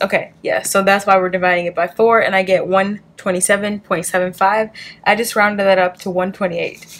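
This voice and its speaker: Using a put-on character voice, a woman speaks at a fairly quick pace in a raspy, monotone delivery with flat intonation and a medium pitch. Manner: very fast.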